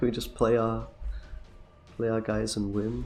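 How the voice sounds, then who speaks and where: A man talks at a moderate pace, with audible room echo and music playing in the background. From England. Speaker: gaming streamer. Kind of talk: gameplay commentary. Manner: casual, chatty.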